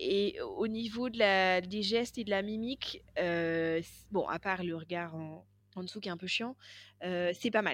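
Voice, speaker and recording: A woman speaks at a very slow pace with a medium pitch and ordinary pitch variation against a quiet background. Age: 40s. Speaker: podcast co-host. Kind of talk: casual chat. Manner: halting.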